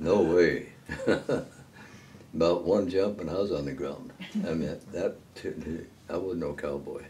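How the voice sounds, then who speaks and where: A man speaks at a very deep, low pitch and a very slow pace. There is light background noise. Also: fairly even intonation. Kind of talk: casual storytelling interview. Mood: amused, laughing at himself. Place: home room. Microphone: camera far.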